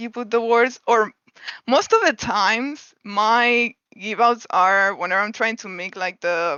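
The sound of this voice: A woman's fairly high voice, clear and smooth yet bright and sharp, at a fairly slow pace, in a dry, close sound with no echo. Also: ordinary pitch variation.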